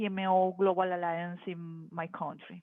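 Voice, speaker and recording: This woman speaks with a Spanish accent. Her pitch is medium. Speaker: project management professional. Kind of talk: casual chat. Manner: halting.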